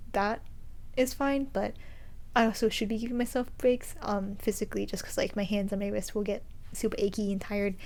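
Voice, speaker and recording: A woman's medium-pitched voice at a fairly quick pace with fairly even intonation. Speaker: knitting podcaster. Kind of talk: casual vlog monologue. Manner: fast.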